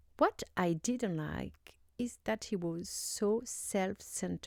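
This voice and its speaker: A woman with a French accent. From France. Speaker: YouTuber. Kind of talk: casual commentary. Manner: halting, many fillers.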